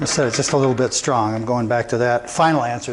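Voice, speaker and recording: A man at a medium pitch and a very fast pace, with ordinary pitch variation and noticeable background noise. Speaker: carpenter. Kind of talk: tutorial. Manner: casual, thinking aloud.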